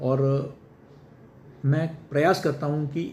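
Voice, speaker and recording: The voice has a dark, mellow tone and sounds somewhat breathy. Room echo is audible. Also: man. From Kerala, India. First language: Malayalam (speaking Hindi). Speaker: senior journalist and media educator. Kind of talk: interview. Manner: formal.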